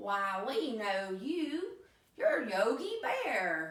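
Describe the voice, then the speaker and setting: A female-sounding put-on character voice, fairly high-pitched, at a very slow pace with a slight echo. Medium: read story.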